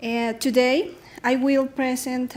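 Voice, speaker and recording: A woman with a Spanish accent speaks in a high pitch with fairly even intonation. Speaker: researcher. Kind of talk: conference presentation. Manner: halting.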